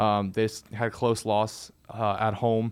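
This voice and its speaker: The background is quiet. A man talks at a medium pitch. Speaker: podcast co-host. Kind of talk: casual sports chat. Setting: studio.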